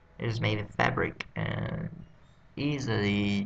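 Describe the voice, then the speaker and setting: A man talks at a very slow pace with a fairly low pitch. His voice has vocal fry. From Vietnam. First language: Vietnamese. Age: 20s. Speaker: English learner vlogger. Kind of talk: self-study vocabulary practice. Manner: halting.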